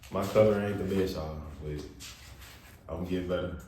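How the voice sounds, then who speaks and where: A man talks with a very deep, low pitch and fairly even intonation. The room echo is audible, and background noise is noticeable. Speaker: tarot reader. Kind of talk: tarot reading. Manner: loud, talking up. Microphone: far from the mic.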